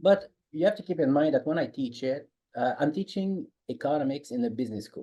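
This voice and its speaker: In a Quebec accent, a man talks at a fairly quick pace with lively intonation. His voice is fairly high-pitched, with a dark, mellow tone. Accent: French Canadian accent in English. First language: French. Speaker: economics professor. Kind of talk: podcast interview. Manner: halting.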